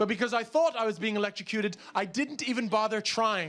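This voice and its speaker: A man with an American accent, extremely high-pitched, animated and raised and projected, over noticeable background noise. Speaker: stand-up comedian. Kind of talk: stand-up comedy routine to a live audience. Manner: animated, comedic, storytelling with shouted outbursts.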